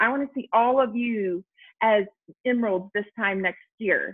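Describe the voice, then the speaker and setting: Speaking at a moderate pace, a woman has a fairly high pitch, ordinary pitch variation and an ordinary speaking voice. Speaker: direct sales team leader. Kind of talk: motivational business talk.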